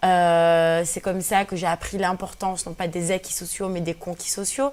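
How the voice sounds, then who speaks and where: The speaker keeps a fairly even intonation. The pace is moderate. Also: woman, fairly low pitch for a woman. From Algeria (Kabyle), raised in France from early childhood. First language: Berber (Kabyle) (speaking French). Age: 20s. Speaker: feminist activist and blogger. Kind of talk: radio interview. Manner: hesitant, many fillers.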